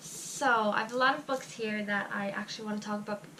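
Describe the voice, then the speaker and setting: With noticeable background noise behind her, a woman speaks in an Irish accent with ordinary pitch variation. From Ireland. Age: young. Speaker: book reviewer. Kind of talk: casual talk to camera.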